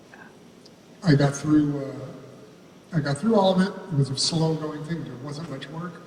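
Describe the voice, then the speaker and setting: Heard with audible room echo and noticeable background noise, a man with a fairly high voice speaks at a fairly slow pace, his intonation fairly even and his loudness swinging widely. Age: 60s. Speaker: professional trumpet player, panelist. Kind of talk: panel discussion, personal story. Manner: casual, halting with fillers.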